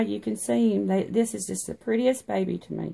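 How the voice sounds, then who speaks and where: A woman with a strong Tennessee accent, fairly low in pitch, dark and mellow in tone, with very wide pitch swings at a moderate pace, on a very clean recording with a silent background. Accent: thick country accent (Tennessee). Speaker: reborn doll artist and vlogger. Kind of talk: casual vlog. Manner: hesitant, many fillers.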